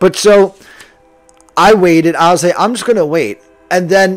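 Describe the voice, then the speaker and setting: Music plays in the background as a man with an American accent speaks. His intonation is lively and his pace moderate. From New Jersey. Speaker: podcaster. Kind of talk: casual monologue.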